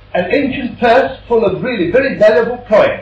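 Speaking at a very slow pace, a man uses lively intonation, with noticeable background noise and audible room echo. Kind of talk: direct-to-camera presentation. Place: workshop. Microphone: old recording.

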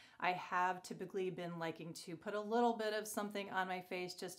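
Talking at a very fast pace, a woman keeps a fairly low pitch and fairly even intonation. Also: quiet background. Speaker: beauty vlogger. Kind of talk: casual vlog chat. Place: bathroom. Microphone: phone near.

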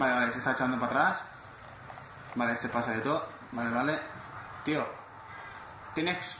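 A man at medium pitch with ordinary pitch variation, a fairly quick pace and long, frequent pauses, plus audible room echo and noticeable background noise. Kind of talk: gameplay commentary. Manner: animated.

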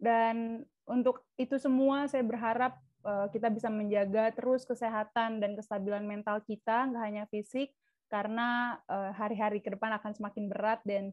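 A woman speaks in a fairly high voice at a moderate pace, with fairly even intonation. The sound is dry with no echo, over a quiet background. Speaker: student association chair. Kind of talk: welcome speech. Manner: formal. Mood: polite, warm. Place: home room. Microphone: video call.

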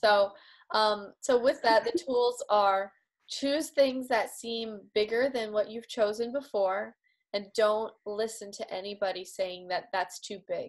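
Against a quiet background, a woman talks at a very slow pace. Her pitch is fairly high. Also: ordinary pitch variation. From Canada, rural Manitoba. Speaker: personal development facilitator. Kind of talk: interview. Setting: video call. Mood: warm, enthusiastic. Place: home room. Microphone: video call.

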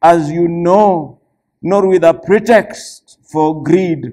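The speaker goes at a very slow pace with ordinary pitch variation against a quiet background. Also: man. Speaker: church elder preaching. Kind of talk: sermon scripture reading. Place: church.

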